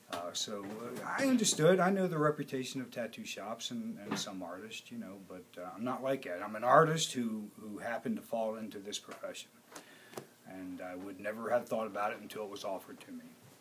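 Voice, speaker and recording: A man talks at a fairly quick pace with big swings in loudness, and noticeable background noise can be heard. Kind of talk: interview answer. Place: shop.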